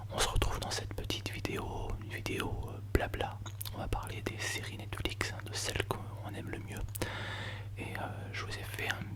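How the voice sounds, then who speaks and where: Noticeable background noise is present. Under it, a man whispers. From Paris, France. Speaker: ASMR creator. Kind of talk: ASMR soft-spoken chat about favorite TV series. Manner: whispered, soft-spoken, close to the microphone.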